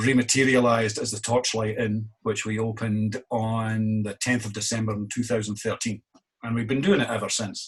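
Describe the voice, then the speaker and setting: A man with a Scottish accent talks at a moderate pace and a medium pitch. His delivery is monotone, flat in intonation, and somewhat breathy. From Scotland. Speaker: innkeeper. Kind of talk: interview.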